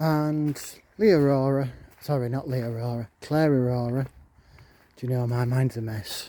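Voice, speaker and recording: The voice has a dark, mellow tone and fairly even intonation, with a Yorkshire accent. It moves at a moderate pace with long, frequent pauses. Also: man, medium pitch for a man. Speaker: vlogger. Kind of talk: casual vlog rant. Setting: outdoors in a park.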